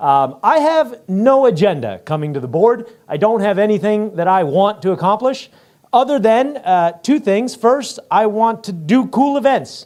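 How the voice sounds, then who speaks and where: With very wide pitch swings, the speaking moves along at a moderate pace. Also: man, high pitch for a man. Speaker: flying club member, board candidate. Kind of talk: campaign speech. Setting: club meeting hall, also streamed on video call. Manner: animated.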